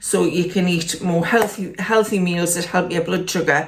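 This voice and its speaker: This woman speaks at a medium pitch with a Geordie accent. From northern England, Newcastle area. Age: 60s. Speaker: lifestyle vlogger. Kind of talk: casual vlog update. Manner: hesitant, with fillers.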